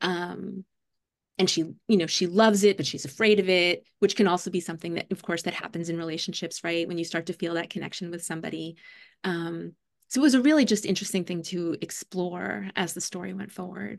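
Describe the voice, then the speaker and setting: In a quiet background, a woman with an American accent uses an unremarkable speaking voice, fairly low in pitch, at a fairly quick pace with ordinary pitch variation. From New York City, Staten Island. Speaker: children's book author and writing teacher. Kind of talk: casual interview.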